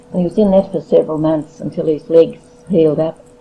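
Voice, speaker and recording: Over noticeable background noise, a woman speaks with a fairly low pitch and fairly even intonation. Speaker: grandmother recalling family history. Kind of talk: oral history interview. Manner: halting.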